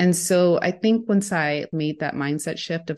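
With an American accent, a woman speaks at a moderate pace with lively intonation against a quiet background. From United States, Mexican heritage. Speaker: education specialist and language advocate. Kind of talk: interview.

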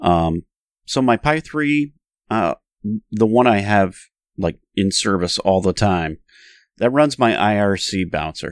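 A man with a Northern New York accent speaks fairly slowly with long, frequent pauses, his fairly low voice lively in intonation, in a dry, close recording with no echo that is very clean with a silent background. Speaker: podcast co-host. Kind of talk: casual chat.

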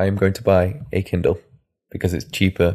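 Here is a man with a normal speaking voice, pitched fairly low. His intonation is fairly even, and the recording is very clean with a silent background. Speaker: podcast co-host. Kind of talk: casual chat.

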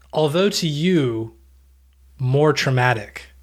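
Very slowly, a man with an American accent and a fairly high pitch speaks in a very clean recording with a silent background. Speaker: podcast co-host. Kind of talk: casual chat.

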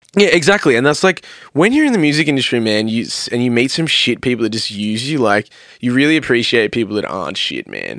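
On a very clean recording with a silent background, a man with an Australian accent and a medium pitch speaks at a very fast pace, with lively intonation and an animated tone. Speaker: metal band vocalist and music producer. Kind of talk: casual chat.

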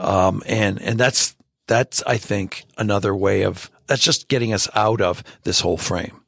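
The voice is a plain, everyday voice with fairly even intonation. It moves at a fairly slow pace. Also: man, fairly low pitch for a man. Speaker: author and theologian. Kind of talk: casual interview conversation.

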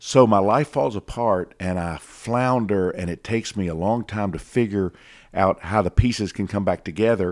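On a very clean recording with a silent background, a man with an ordinary speaking voice talks at a moderate pace and a fairly low pitch. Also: ordinary pitch variation. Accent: American. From Atlanta, US South. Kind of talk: casual interview.

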